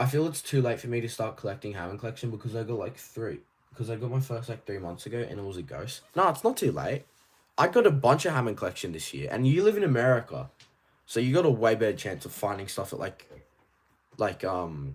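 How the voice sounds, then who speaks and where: With an Australian accent and a medium pitch, a man races along at a very fast pace, his pitch swinging very widely and his loudness rising and falling sharply, with vocal fry, on a very clean recording with a silent background. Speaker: toy collecting streamer. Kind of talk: live stream chat. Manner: casual, rambling with fillers.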